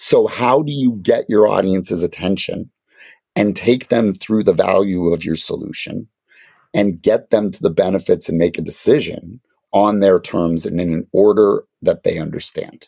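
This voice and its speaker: The sound is dry and close with no echo. A man speaks at a moderate pace. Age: 40s. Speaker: marketing consultant. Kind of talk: casual chat.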